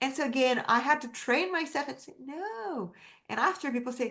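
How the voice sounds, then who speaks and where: A woman speaks with a French accent. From France, Paris. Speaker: women's empowerment coach. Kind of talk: interview. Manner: animated.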